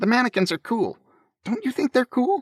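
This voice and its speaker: A man puts on a character voice, pitched extremely high with very wide swings. He keeps a moderate pace on a very clean recording with a silent background. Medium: read story.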